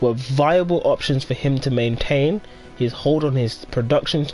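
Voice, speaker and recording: With music in the background, the speaker goes at a moderate pace with ordinary pitch variation. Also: man. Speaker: gaming streamer. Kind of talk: casual chat. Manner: loud.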